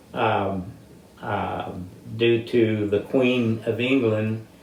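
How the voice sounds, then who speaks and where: A man at a medium pitch with an American accent, audible room echo around him. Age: 80s+. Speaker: military veteran. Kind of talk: interview.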